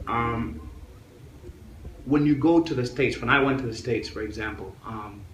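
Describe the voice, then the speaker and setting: Music plays in the background as a man talks with ordinary pitch variation amid audible room echo. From Africa, then US from age 15. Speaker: author. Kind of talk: interview.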